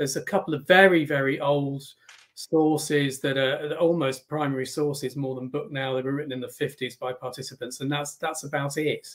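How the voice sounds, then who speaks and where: Against a quiet background, a man speaks with a British accent at a moderate pace. His pitch is fairly high and his intonation fairly even. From England. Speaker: naval historian. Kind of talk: history talk with slides. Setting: video call. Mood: warm, relaxed. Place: home room.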